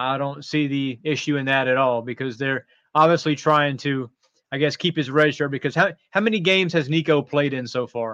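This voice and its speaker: A man with an American accent and an unremarkable speaking voice, fairly high in pitch, at a fairly quick pace with ordinary pitch variation, the sound dry and close with no echo. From North Carolina. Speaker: college football writer. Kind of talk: sports talk interview.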